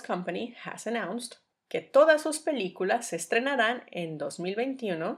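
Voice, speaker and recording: A woman's pitch swings very widely as she speaks at a very slow pace, on a very clean recording with a silent background. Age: 30s. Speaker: language teacher podcaster. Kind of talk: bilingual language-learning monologue.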